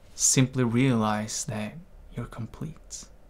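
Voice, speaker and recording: In a soothing, gentle tone, a man speaks at a very slow pace with fairly even intonation. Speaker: meditation teacher. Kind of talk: guided meditation, calm instructional talk. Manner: slow, soothing, gentle. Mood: calm, gentle, reflective. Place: home room. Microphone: studio mic.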